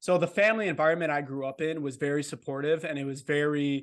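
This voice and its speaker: In an American accent, a normal speaking voice comes through with fairly even intonation over a quiet background. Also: man. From Wisconsin, near Milwaukee. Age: 20s. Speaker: vet student and ultra runner. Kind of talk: casual interview chat.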